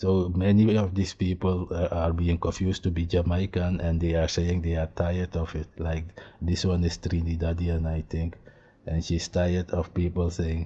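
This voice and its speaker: A man speaks in a very deep, low pitch with a dark, mellow, somewhat breathy tone. His intonation is monotone and flat, at a moderate pace. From eastern Suriname, Maroon interior. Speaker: YouTube commentator. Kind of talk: reaction video commentary.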